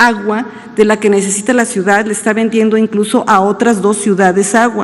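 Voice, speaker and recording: Here a woman speaks at a moderate pace with a fairly high pitch. There is noticeable background noise. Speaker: government official. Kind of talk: press conference answers. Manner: halting, many fillers.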